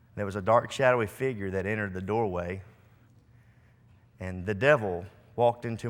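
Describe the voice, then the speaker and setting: At a moderate pace and fairly low pitch, a man speaks with fairly even intonation on a very clean recording with a silent background. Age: 40s. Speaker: preacher. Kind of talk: sermon.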